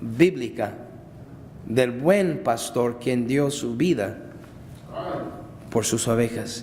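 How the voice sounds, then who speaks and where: A man's very slow speech with ordinary pitch variation, set against noticeable background noise and audible room echo. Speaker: pastor. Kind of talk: sermon. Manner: loud, shouting at times.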